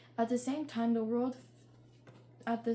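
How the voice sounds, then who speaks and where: A woman's fairly high, monotone voice with flat intonation against noticeable background noise. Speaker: true crime podcast host. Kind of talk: true crime storytelling. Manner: halting, frequent self-corrections.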